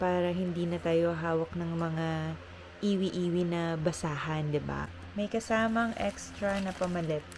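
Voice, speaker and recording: A woman with an unremarkable speaking voice, pitched fairly low. She talks at a fairly slow pace with fairly even intonation. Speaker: vlogger, flight attendant. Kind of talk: casual vlog.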